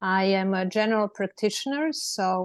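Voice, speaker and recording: With a Serbian accent, a woman talks at a moderate pace in a medium pitch. The sound is dry and close, with no echo. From Serbia, Belgrade. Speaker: lawyer. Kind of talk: panel discussion.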